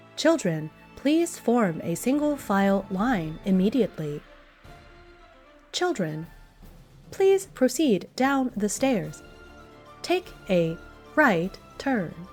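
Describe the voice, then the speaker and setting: A put-on, robotic, female-sounding character voice at a medium pitch, calm in tone, very slow with long, frequent pauses and very wide pitch swings, over clear music in the background. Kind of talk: instructional. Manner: calm, even, mechanical.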